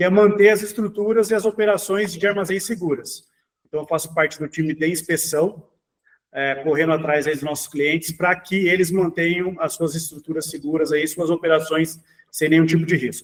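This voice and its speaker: A man with a high pitch talks at a moderate pace using fairly even intonation. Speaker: engineering assistant, inspection specialist. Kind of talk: webinar panel discussion. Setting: online webinar.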